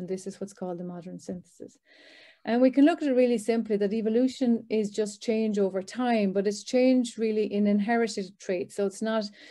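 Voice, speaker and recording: Speaking fairly quickly with an Irish accent, a woman keeps a medium pitch, a dark, mellow tone and fairly even intonation. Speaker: professor. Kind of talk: lecture. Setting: video call. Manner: fast.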